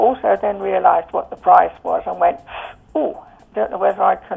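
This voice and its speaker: A woman talks with an English accent. Music plays in the background. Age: 70s. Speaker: customer giving testimonial. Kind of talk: testimony. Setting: phone call. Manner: hesitant, many fillers.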